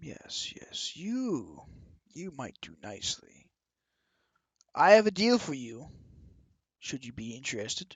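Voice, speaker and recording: A put-on character voice moves at a fairly slow pace. Long, frequent pauses break up the speech. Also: man, fairly high pitch for a man. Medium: actual play. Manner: guarded, measured, weary.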